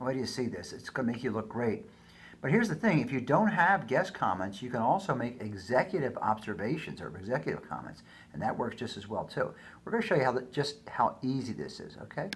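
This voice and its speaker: A man speaks at a very fast pace, somewhat breathy. His pitch swings very widely. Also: medium pitch for a man. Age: 60s. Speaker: business educator. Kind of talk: tutorial. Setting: recorded screencast with daughter reading slides. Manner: casual, halting with fillers.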